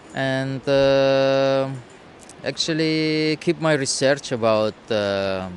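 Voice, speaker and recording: Noticeable background noise beneath a man's voice and its ordinary pitch movement. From Russia. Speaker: nomad street musician and shaman. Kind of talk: interview. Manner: halting.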